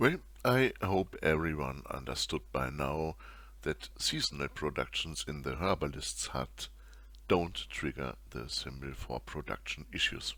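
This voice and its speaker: Speaking with a non-native accent, a man uses a very deep, low pitch with vocal fry and a bright, sharp tone, moving at a fairly slow pace with lively intonation. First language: not English. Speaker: video game tutorial youtuber. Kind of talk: tutorial. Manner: formal.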